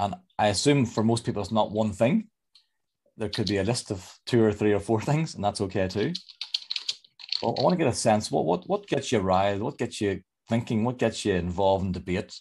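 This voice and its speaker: Using a Northern Irish accent, a man with a fairly low pitch talks at a fairly quick pace with ordinary pitch variation. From Northern Ireland. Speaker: leadership coach. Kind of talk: online presentation. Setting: video call. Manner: fast; sing-song.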